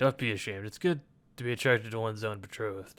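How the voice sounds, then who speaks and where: A man's put-on character voice at a medium pitch, delivered at a very fast pace, on a very clean recording with a silent background. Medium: read story. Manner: calm, measured.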